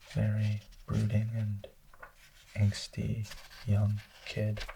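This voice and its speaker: A soft-spoken man whispers at a very slow pace. Noticeable background noise can be heard. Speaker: ASMR creator. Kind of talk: book review, ASMR. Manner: soft-spoken, whispered.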